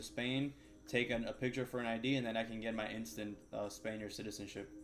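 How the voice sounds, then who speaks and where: Using fairly even intonation, a man at medium pitch speaks with a slight Cuban American accent. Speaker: day trader streamer. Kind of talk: casual chat during live trading stream.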